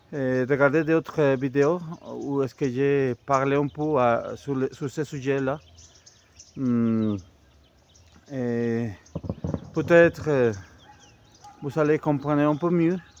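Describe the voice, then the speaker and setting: A man speaks at a fairly high pitch and a very slow pace, pausing long and often. His intonation is fairly even, with noticeable background noise behind him. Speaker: amateur history youtuber. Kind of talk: casual monologue. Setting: outdoors, walking. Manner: halting, many hesitations.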